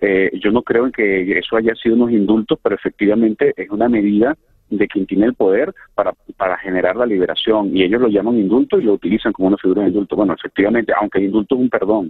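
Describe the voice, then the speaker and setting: Speaking at a very fast pace, a man with a fairly low voice keeps his intonation fairly even and his loudness very even. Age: 40s. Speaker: former political prisoner. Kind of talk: testimony. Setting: phone call. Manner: halting.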